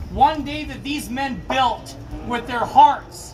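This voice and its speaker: A man speaks with an extremely high pitch and ordinary pitch variation, with audible room echo and noticeable background noise. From Canada, Kelowna, British Columbia. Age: 50s. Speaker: construction worker. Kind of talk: vigil speech. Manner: loud; emotional, repetitive.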